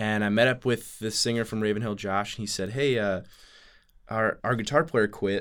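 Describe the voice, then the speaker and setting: A man's fairly low voice with fairly even intonation at a moderate pace, on a very clean recording with a silent background. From St. Louis, Missouri. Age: 30s. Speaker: singer-songwriter. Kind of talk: casual interview. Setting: studio. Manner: halting, many fillers.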